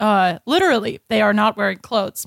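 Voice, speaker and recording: A woman with a plain, everyday voice and fairly high pitch talks at a fairly quick pace, in a very clean, dry, close recording with no echo and a silent background. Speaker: comedian. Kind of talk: comedic improv banter.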